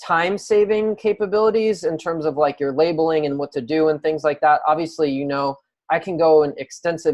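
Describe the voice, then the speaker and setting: A man's fairly high voice, a normal speaking voice, with ordinary pitch variation and a fairly quick pace. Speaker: online marketing coach. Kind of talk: screen-share tutorial. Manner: casual with many filler words.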